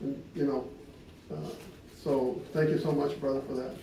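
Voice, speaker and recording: Ordinary pitch variation at a moderate pace, with audible room echo. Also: man. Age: 60s. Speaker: husband speaking at his wedding anniversary. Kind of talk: personal storytelling to gathered guests.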